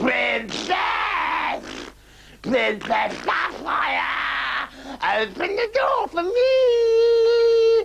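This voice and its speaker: Someone shouts at a very slow pace in a put-on character voice. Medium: read story.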